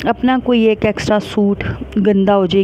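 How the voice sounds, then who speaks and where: A woman speaks quietly and fairly slowly in a flat monotone. There is noticeable background noise. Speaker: family vlogger. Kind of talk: casual vlog monologue. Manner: quiet, unable to speak loudly.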